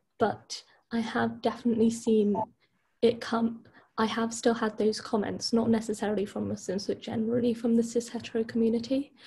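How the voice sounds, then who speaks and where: This woman's fairly high voice has a dark, mellow tone and vocal fry, moving at a fairly quick pace in a monotone, flat delivery. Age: 20s. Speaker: university student and charity volunteer. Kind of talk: interview.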